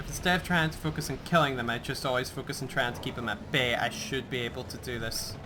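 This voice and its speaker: A very fast delivery with hardly any pauses, ordinary pitch variation, and audible room echo. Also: man, medium pitch for a man. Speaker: gaming let's play host. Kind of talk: gameplay commentary.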